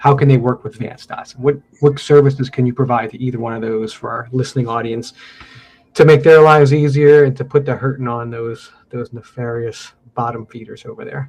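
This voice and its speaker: A man with a medium-pitched, somewhat breathy voice talks at a fairly quick pace. His intonation stays fairly even while his loudness swings widely. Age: 40s. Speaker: podcast host. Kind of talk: podcast interview.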